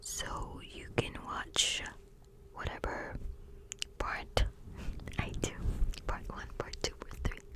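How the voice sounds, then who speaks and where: Someone whispers at a very slow pace, with long, frequent pauses and noticeable background noise. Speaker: ASMR creator. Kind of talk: ASMR fact reading. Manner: whispered.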